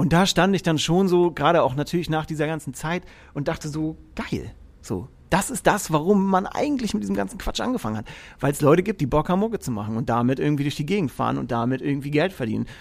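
Words come out at a very fast pace, the pitch swinging very widely up and down. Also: man, fairly high pitch for a man. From Franconia, Germany (Erlangen near Nuremberg). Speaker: musician and tour technician. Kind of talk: casual chat.

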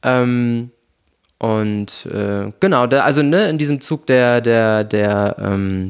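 Ordinary pitch variation shapes a man's medium-pitched voice. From Hesse, Germany. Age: 20s. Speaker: office manager at a film production company, former musical performer. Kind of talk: casual chat. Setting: home, sitting on couch. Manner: animated, playful with voice.

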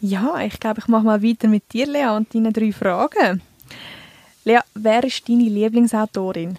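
A woman's fairly high voice at a moderate pace, with ordinary pitch variation and a dry, close sound with no echo. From central Switzerland, Canton Uri. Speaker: communications staff, podcast co-host. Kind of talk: casual chat. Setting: studio. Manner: clear articulation.

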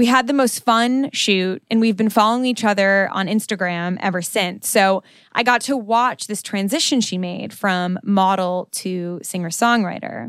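A woman with an unremarkable speaking voice and an American accent talks at a medium pitch with ordinary pitch variation and hardly any pauses. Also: moderate pace. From New York. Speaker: podcast host. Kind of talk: casual chat; scripted narration.

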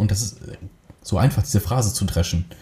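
Noticeable background noise surrounds a man whose fairly low voice moves with ordinary pitch variation. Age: 30s. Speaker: film and video producer. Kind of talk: casual chat. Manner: hesitant, many filler sounds.

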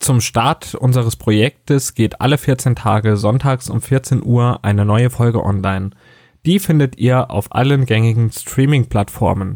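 Against a silent background in a very clean recording, a man speaks at a fairly slow pace, an ordinary speaking voice. His pitch is medium with ordinary variation, and his loudness stays very even. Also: dry, close sound with no echo. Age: 20s. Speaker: podcast co-host, customer service worker. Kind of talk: scripted podcast intro.

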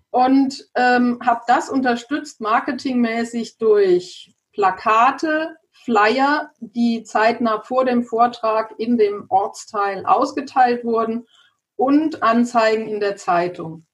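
A woman speaks at a very slow pace. Her voice is high-pitched, with ordinary pitch variation. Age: 50s. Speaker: lawyer and bank credit specialist. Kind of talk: interview. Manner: hesitant, many filler sounds.

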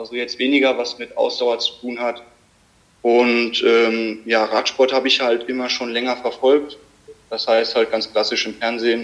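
A man of medium pitch is talking at a moderate pace. His intonation is monotone and flat. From Germany, Limburg (Hesse). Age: 20s. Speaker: amateur cyclist and dual student. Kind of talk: casual interview. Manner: hesitant, many fillers.

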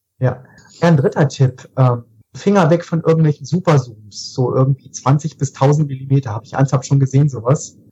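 Dry and close with no echo, a man's fairly high, dark, mellow voice comes through somewhat breathy, with fairly even intonation at a fairly quick pace. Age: 30s. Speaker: photographer. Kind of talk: casual chat.

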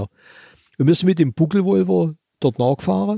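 A man's somewhat breathy voice with a dark, mellow tone sounds dry and close with no echo on a very clean recording with a silent background. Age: 70s. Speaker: museum owner and classic car collector. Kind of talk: interview.

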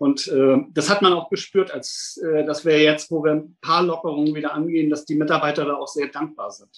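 A man's fairly high, monotone, flat voice at a fairly quick pace, with hardly any pauses. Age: 50s. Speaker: safety engineer at a hospital. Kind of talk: interview.

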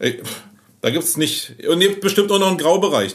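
A man talks with vocal fry. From Berlin. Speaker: agency owner. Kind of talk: casual chat. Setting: in his agency office.

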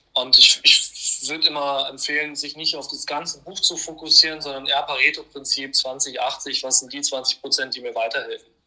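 Speaking at a moderate pace with hardly any pauses, a man's voice shows big swings in loudness. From Hannover, northern Germany. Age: 20s. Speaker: finance expert and entrepreneur. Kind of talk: interview.

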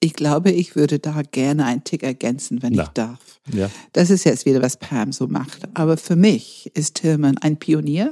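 Recorded with a dry, close sound and no echo, a woman speaks in a very deep, low, dark, mellow voice with lively intonation. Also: moderate pace. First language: not German (speaking German). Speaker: enneagram coach and trainer. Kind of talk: podcast conversation.

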